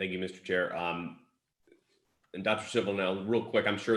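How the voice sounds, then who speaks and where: A man's very deep, low pitch on a very clean recording with a silent background. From eastern North Carolina. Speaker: county commissioner. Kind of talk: public meeting question.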